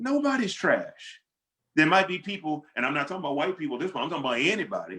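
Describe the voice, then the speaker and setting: A man speaks very fast in a high, raised, projected voice. His pitch swings very widely. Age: 60s. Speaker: pastor and author. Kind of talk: panel discussion Q and A. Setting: video call.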